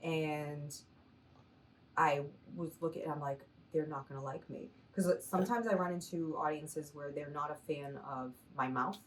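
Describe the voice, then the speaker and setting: A woman with an American accent speaks at a moderate pace in a very deep, low voice with ordinary pitch variation. She leaves long, frequent pauses. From Massachusetts. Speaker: stand-up comedian. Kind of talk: interview answer.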